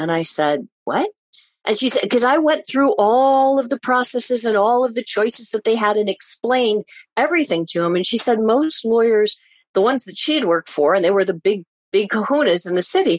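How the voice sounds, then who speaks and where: Fairly high in pitch with lively intonation, a woman speaks at a fairly quick pace in a dry, close sound with no echo. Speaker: divorce coach and mediator. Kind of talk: casual interview chat. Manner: fast talker.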